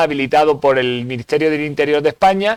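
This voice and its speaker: A man talks fairly quickly in a fairly high voice with ordinary pitch variation, the sound dry and close with no echo. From Spain. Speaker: security instructor. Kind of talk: seminar lecture. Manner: hesitant with fillers.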